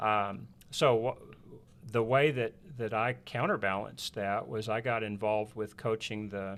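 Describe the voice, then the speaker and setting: A man with a West Texas accent speaks fairly slowly and fairly low, his intonation fairly even. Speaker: preacher. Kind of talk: casual chat.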